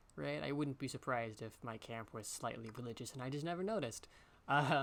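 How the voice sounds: What comes through is a natural reading voice.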